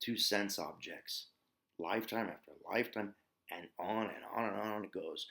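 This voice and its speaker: A man speaks with an American accent. His pitch is medium and his pace fairly slow. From US, Ozarks. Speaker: yoga and meditation teacher. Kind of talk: spiritual teaching talk. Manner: casual with filler words.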